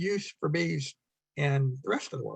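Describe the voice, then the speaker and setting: A somewhat breathy man's voice, fairly high in pitch with ordinary pitch variation, in a dry, close sound with no echo. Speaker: beekeeping speaker. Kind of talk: club talk with slides. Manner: fast; halting, many fillers.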